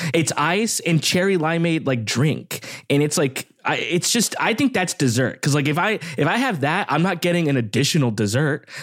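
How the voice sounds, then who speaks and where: A man with a Californian accent talks at a moderate pace in a fairly high voice. His intonation is lively and his loudness very even. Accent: Californian American. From Southern California, Downey/Long Beach area. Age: 30s. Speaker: podcast guest. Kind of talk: casual chat.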